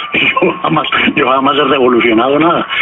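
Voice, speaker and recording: Over music in the background, a man talks at a fairly high pitch with ordinary pitch variation. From Colombia, Pereira. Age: 70s. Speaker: journalist and writer. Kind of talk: radio interview.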